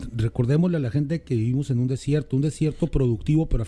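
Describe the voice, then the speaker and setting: A man talks with a fairly high pitch and a dark, mellow tone. His voice is somewhat breathy. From Mexico, Mexicali. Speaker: political commentator. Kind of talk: casual political chat.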